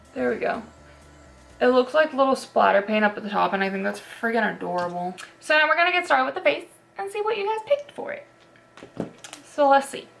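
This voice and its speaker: Speaking at a very fast pace with long, frequent pauses, a woman's high voice swings very widely in pitch and heavily in loudness over noticeable background noise. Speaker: beauty youtuber. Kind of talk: makeup tutorial. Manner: casual, filler-heavy; quiet while doing liner.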